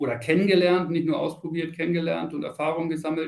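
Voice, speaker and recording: A man speaks at a fairly quick pace. His voice is high-pitched. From Lower Saxony, Celle. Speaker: charging industry manager. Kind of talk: interview.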